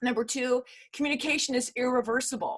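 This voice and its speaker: Over a quiet background, a woman speaks at a moderate pace. She has an ordinary speaking voice, pitched fairly high. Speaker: corporate communications consultant. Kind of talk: virtual workshop lecture. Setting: video call.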